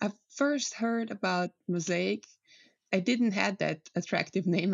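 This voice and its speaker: This woman speaks with a Slovenian accent. Her pace is fairly slow. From Slovenia, countryside village. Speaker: climate scientist. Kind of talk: interview.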